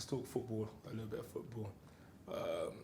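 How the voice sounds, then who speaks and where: A man's somewhat breathy, dark, mellow voice in a London accent, with audible room echo. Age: 30s. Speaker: podcast host. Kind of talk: casual chat.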